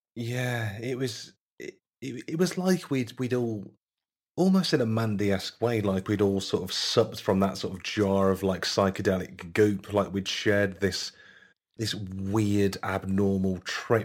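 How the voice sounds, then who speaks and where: Spoken with a Yorkshire accent at a fairly slow pace, with ordinary pitch variation. The recording is very clean over a silent background. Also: man, fairly low pitch for a man. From northern England, Leeds. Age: 30s. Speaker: podcast host. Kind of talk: casual chat.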